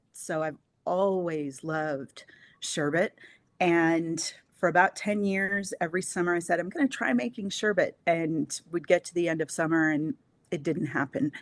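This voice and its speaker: The speaker talks at a moderate pace with ordinary pitch variation, in a dry, close sound with no echo and a quiet background. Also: woman. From Southern California. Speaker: small business owner. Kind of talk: interview.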